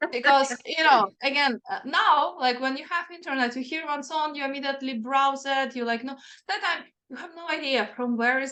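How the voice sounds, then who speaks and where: A woman with a non-native accent speaks in a raised, projected voice at a moderate pace, her high pitch carrying a bright, sharp tone and ordinary pitch variation. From Ukraine. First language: not English. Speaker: singer-songwriter, metal musician. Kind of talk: interview.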